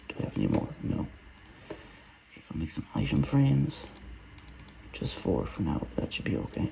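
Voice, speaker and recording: Over noticeable background noise, a man with a very deep, low pitch talks at a moderate pace with ordinary pitch variation and long, frequent pauses. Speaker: gaming video creator. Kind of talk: let's play commentary. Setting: at home. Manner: quiet, soft-spoken; hesitant, many fillers.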